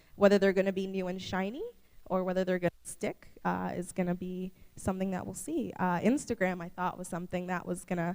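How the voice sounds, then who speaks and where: Her pitch medium and her intonation fairly even, a woman talks at a fairly quick pace. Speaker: conference keynote speaker. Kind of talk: keynote presentation. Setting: conference stage with audience. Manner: fast; casual, filler-heavy.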